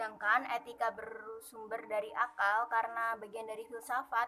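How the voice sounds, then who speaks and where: The voice is shrill, with monotone, flat intonation. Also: woman. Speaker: university student. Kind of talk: class presentation. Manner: formal, read from text.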